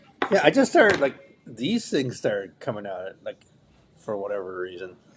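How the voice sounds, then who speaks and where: The loudness rises and falls sharply throughout. Background noise is noticeable, and the pace is moderate. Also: man. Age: 50s. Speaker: podcast host, martial arts practitioner. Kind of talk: casual chat.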